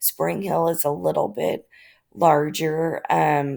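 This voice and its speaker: In a very clean recording with a silent background, a woman speaks with a Midwestern US accent. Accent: US Midwest. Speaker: graduate student in education leadership. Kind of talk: class presentation. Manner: hesitant, many fillers.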